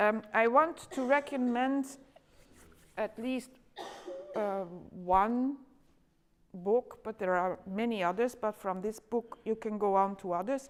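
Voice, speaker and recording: Speaking with a Flemish accent, a woman talks at a very slow pace in a fairly high pitch, leaving long, frequent pauses. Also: ordinary pitch variation. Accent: Flemish Dutch accent in English. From Flanders, Belgium. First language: Dutch. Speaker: education lecturer. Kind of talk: conference talk. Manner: halting, many fillers.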